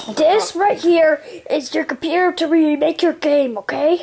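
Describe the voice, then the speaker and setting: The voice is a high-pitched, cartoonish character voice. It moves at a moderate pace. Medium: puppet show. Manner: pushy, impatient; curt when firing.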